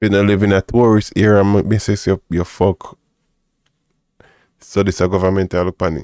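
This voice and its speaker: A man with a Jamaican accent speaks at a moderate pace in a fairly low voice, with very even loudness and long, frequent pauses. The recording is very clean with a silent background, and the sound is dry and close with no echo. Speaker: livestream host. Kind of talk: casual commentary on news clips. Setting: livestream. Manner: animated.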